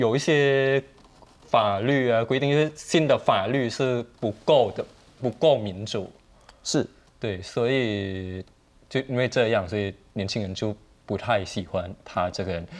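Speaking at a fairly slow pace, a man with a Thai accent uses a medium pitch. His pitch varies an ordinary amount. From Thailand. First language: Thai (speaking Chinese). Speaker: Thai student activist. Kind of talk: TV panel discussion. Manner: hesitant, many fillers.

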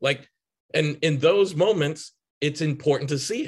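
A man with an American accent, fairly high in pitch, at a fairly slow pace, with ordinary pitch variation and a quiet background. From Chicago and Boston, US. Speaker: psychotherapist. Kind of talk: casual interview chat.

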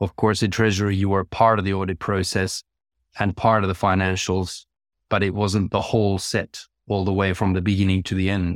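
A man's fairly low voice in a Finnish accent, at a fairly quick pace, with monotone, flat intonation. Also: dry, close sound with no echo, very clean recording, silent background. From Finland. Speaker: chief financial officer. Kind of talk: interview.

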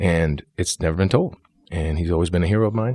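With an upstate New York accent, the speaker talks at a moderate pace in a dry, close sound with no echo on a very clean recording with a silent background. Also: man. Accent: upstate New York American. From New York, Syracuse. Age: 40s. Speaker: actor. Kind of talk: casual interview.

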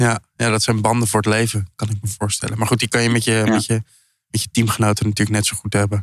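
On a very clean recording with a silent background and a dry, close sound with no echo, a man speaks at a very fast pace with a fairly low pitch and monotone, flat intonation. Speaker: podcast host. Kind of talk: casual interview. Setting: food hall in The Hague.

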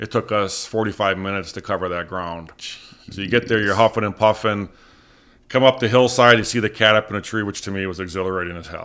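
In a very clean recording with a silent background, a man speaks very fast at a fairly low pitch, his tone bright and sharp and his intonation fairly even. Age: 50s. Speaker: taxidermist. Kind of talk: casual interview. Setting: in-person interview at his home.

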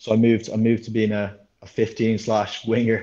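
A man with an Irish accent speaks at a medium pitch in a dark, mellow tone. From Ireland, Dublin area. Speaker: professional rugby sevens player. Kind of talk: interview.

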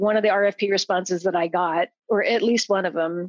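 An unremarkable speaking voice with an American accent, fairly slow pace, dry, close sound with no echo, and a quiet background. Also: woman. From Idaho, US. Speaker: event procurement consultant. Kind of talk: casual interview.

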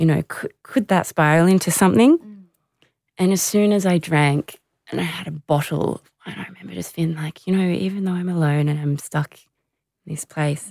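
A woman speaks with an Australian accent. Her pitch is fairly low and varies in an ordinary way. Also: dry, close sound with no echo. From Australia, Canberra. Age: 30s. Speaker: former Olympic hockey player. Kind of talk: interview about personal struggles.

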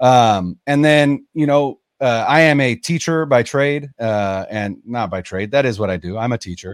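A man talks at a fairly slow pace with lively intonation and hardly any pauses. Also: medium pitch for a man. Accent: Californian. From Northern California. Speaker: sports podcaster. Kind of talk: casual interview. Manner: hesitant fillers.

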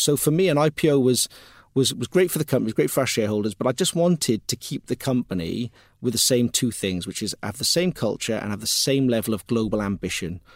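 Very fast and full of lively intonation, a man speaks at a medium pitch. The recording is very clean with a silent background, dry and close with no echo. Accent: Cardiff. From Wales, Cardiff. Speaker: tech company founder and CEO. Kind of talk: interview. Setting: studio.

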